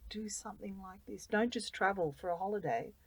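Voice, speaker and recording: A woman talks at a fairly quick pace in an Australian accent. Her voice has vocal fry. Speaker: volunteer. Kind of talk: interview. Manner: animated.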